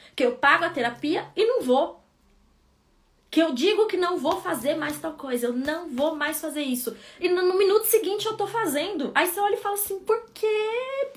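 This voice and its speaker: A woman speaks at an extremely high pitch at a moderate pace. Her pitch swings very widely. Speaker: psychologist. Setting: live stream.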